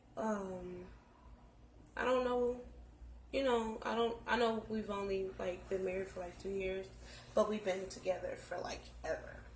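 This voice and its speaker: Audible room echo surrounds a woman talking at a fairly slow pace. She leaves long, frequent pauses. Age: 20s. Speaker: vlogger. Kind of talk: reading aloud; casual chat. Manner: monotone.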